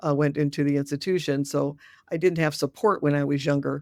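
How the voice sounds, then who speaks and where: A woman talks at a fairly quick pace with a very deep, low pitch and vocal fry. The recording is very clean, with a silent background. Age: 60s. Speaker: death doula and retired dentist. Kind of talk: interview.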